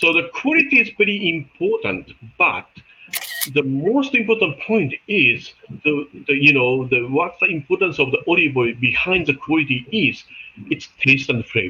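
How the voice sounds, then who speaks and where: A man speaks at a very even loudness over noticeable background noise. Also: moderate pace. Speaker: olive oil market expert. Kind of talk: webinar presentation. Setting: video call. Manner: halting.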